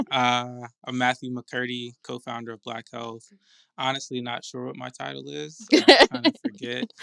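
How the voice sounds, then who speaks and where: A man with an American accent speaks at a moderate pace in a bright, sharp tone at medium pitch, his intonation fairly even but his loudness swinging widely, on a very clean, dry, close recording with no echo and a silent background. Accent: slight Atlanta accent, stronger around locals. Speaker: podcast co-host, health nonprofit co-founder. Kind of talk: casual chat.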